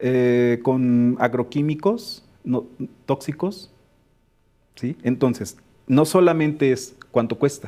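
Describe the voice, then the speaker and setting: A man speaks at a very slow pace with long, frequent pauses. His medium pitch, ordinary in its variation, carries a dark, mellow tone. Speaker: education specialist. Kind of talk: webinar discussion.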